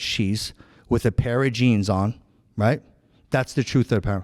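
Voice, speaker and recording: On a very clean recording with a silent background, a man with a New York accent talks at a moderate pace in a dry, close sound with no echo. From New York (Long Island). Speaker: podcast host. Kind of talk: casual chat. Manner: animated.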